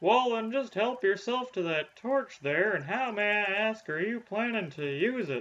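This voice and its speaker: A man puts on a high-pitched character voice. He talks with hardly any pauses. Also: moderate pace. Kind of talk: comic overacting. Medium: game stream.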